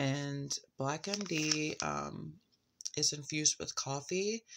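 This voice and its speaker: In a relaxed, calm tone, a woman talks with a very deep, low pitch and ordinary pitch variation over light background noise. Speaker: vlogger reviewing botanical products. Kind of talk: late-night casual vlog review. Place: home room. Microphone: phone near.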